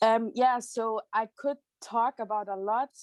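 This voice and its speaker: Speaking with a German accent at a very slow pace, a woman uses a fairly high pitch. The sound is dry and close, with no echo. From Germany. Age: 20s. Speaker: student and youth association leader. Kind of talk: personal testimony.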